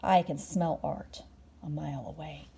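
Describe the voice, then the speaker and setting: At a moderate pace, a female-sounding voice performs a put-on character voice. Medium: read story.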